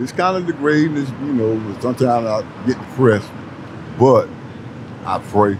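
Noticeable background noise sits behind a man talking at a moderate pace. He uses ordinary pitch variation and takes long, frequent pauses. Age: 60s. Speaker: homeless man; interviewee. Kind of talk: interview. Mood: weary, resigned. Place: street.

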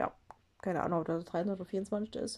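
Against a quiet background, a woman with a non-native accent speaks with fairly even intonation. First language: not German (speaking German). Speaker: craft video creator. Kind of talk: tutorial. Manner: halting. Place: home room. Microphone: phone near.

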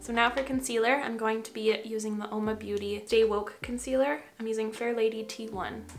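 A woman speaks at a fairly quick pace in a monotone, flat intonation, with hardly any pauses. Faint music plays in the background. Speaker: beauty vlogger. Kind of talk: casual makeup tutorial chat. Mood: relaxed, chatty. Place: home room.

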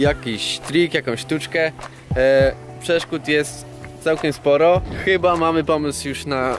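With music in the background, a man speaks with fairly even intonation in a dry sound with no echo. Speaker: BMX rider vlogger. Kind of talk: casual vlog chat. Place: street. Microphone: phone near.

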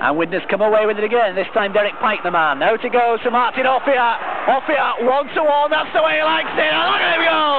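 Fairly quick speech in a dry sound with no echo, over loud background noise. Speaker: TV sports commentator. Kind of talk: commentary.

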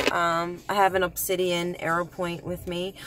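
Over light background noise, a woman with a fairly low pitch speaks in a dry sound with no echo. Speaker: vlogger. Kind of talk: casual vlog chat. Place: car. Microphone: phone near.

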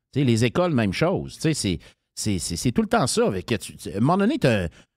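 A man speaks at a medium pitch with very wide pitch swings, on a very clean recording with a silent background. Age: 50s. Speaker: political candidate. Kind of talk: interview. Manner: casual.

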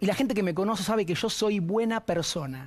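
A man with a Rioplatense accent at a moderate pace, against a quiet background. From Argentina. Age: 40s. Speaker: TV panelist. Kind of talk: personal statement. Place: studio. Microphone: lapel.

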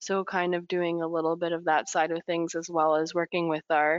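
A woman talks at a moderate pace in an ordinary speaking voice with a fairly low pitch. The sound is dry with no echo, and the background is quiet. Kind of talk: webinar presentation. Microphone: video call.

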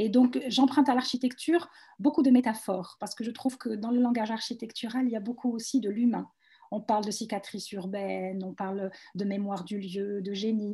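Against a quiet background, a woman speaks at a fairly quick pace with a fairly high pitch, a dark, mellow tone, a somewhat breathy quality, and ordinary pitch variation. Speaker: visual artist. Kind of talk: panel presentation. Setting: video call. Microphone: video call.

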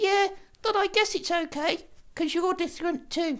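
An extremely high-pitched cartoonish character voice, moderately paced. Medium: puppet.

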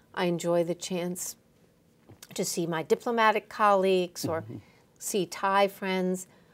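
With an American accent, a woman speaks at a moderate pace with ordinary pitch variation, big swings in loudness and long, frequent pauses. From United States. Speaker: ambassador. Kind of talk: interview. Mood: warm, friendly. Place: studio.

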